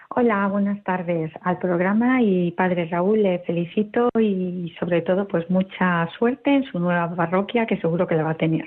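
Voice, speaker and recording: Against noticeable background noise, a woman speaks at a moderate pace and medium pitch with hardly any pauses, ordinary pitch variation and very even loudness. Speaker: radio caller. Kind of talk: listener question on call-in show. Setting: phone call.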